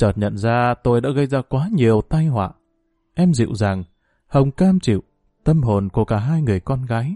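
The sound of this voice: An unforced reading voice carries lively intonation, with a quiet background behind it.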